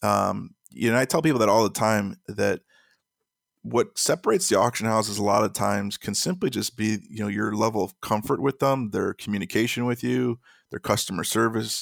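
A man with an American accent and vocal fry speaks at a fairly low pitch in a very clean recording with a silent background. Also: ordinary pitch variation, dry, close sound with no echo. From Chicago. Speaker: auction news website founder. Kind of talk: interview. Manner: halting.

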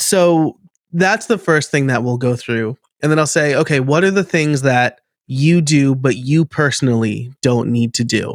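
A man with an American accent at a fairly slow pace and ordinary pitch variation, in a very clean recording with a silent background and a dry, close sound with no echo. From New York state. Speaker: podcast and automation coach. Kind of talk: casual interview chat.

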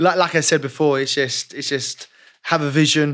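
A man with a London accent and a bright, sharp tone, fairly high in pitch, with fairly even intonation at a moderate pace, on a very clean recording with a silent background. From West London, England. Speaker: personal trainer. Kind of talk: casual chat.

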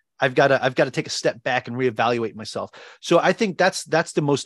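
The speaker has a New York accent and talks at a fairly quick pace. The sound is dry and close with no echo, in a very clean recording with a silent background. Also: man. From Long Island, New York. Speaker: Navy veteran, real estate investor and financial coach. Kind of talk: interview.

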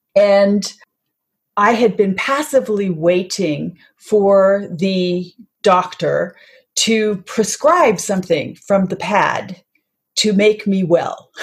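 A woman talks at a very slow pace and medium pitch. Her voice is somewhat breathy, with ordinary pitch variation. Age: 60s. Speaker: health author and wellness advocate. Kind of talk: interview.

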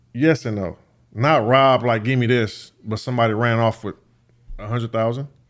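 In an American accent, a man talks at a fairly quick pace and a medium pitch. His is an ordinary speaking voice, with fairly even intonation. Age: 30s. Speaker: professional boxer and YouTuber. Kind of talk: casual chat. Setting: studio.

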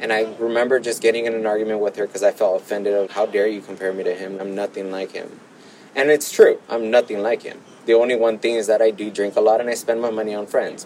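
A man talks very fast in a Southern California accent. His medium pitch stays monotone and flat. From Los Angeles, South Bay (Gardena). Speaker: formerly homeless person in recovery. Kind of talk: personal testimony interview.

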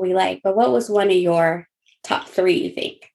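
A woman's squeaky voice comes across in an animated tone. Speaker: podcast co-host. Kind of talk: casual chat.

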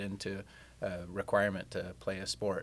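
With an American accent, a man speaks at a fairly low pitch with vocal fry. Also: very clean recording, silent background. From US Midwest, Kansas City. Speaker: company CEO. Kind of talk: interview.

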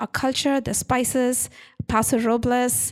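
A woman with an Indian accent speaks at a high pitch on a very clean recording with a silent background. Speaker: winery owner. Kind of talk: casual interview. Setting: in a wine tasting room. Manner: hesitant, with filler words.

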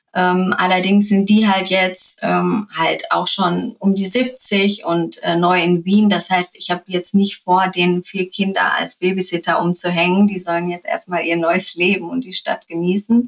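With hardly any pauses, a woman talks at a fairly slow pace in a normal speaking voice of medium pitch. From Germany, Sauerland. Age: 30s. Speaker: influencer. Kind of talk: interview.

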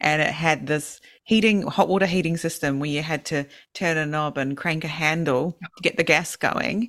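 This woman has a very deep, low pitch and a New Zealand accent. She moves at a moderate pace with ordinary pitch variation. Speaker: podcast co-host. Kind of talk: casual chat. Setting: remote call.

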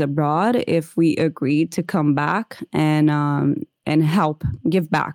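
Recorded very cleanly against a silent background, a woman's very deep, low voice has a dark, mellow tone and fairly even intonation, with a dry, close sound and no echo. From Brazil (Rio de Janeiro). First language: Portuguese. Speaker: holistic nutrition consultant. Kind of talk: interview conversation.

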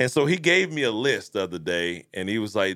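A man speaks at a moderate pace in a bright, sharp tone with vocal fry and very wide pitch swings. The recording is very clean, with a silent background. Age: 40s. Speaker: podcast co-host and business owner. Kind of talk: casual chat. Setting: studio.

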